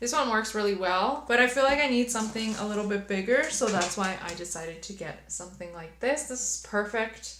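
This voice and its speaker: The speech is fairly quick with hardly any pauses and an animated tone, showing ordinary pitch variation and big swings in loudness, amid noticeable background noise and audible room echo. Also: woman, fairly high pitch for a woman. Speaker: beauty youtuber. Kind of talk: haul video, casual chat to camera.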